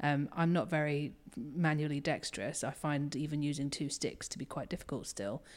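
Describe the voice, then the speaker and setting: A woman speaks at a moderate pace with a very deep, low pitch and ordinary pitch variation. The recording is very clean, with a silent background. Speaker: communications director at game studio.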